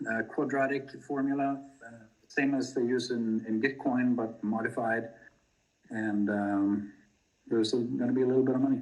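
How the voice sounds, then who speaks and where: Audible room echo surrounds a man speaking at a moderate pace. His pitch is medium, and his intonation fairly even. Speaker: crypto project team member. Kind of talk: community video call presentation. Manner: many fillers and hesitations.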